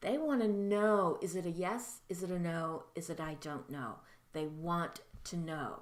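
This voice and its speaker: A woman speaks at a fairly slow pace with a fairly low pitch and ordinary pitch variation. There is audible room echo. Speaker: mediumship teacher. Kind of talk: tutorial. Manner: halting.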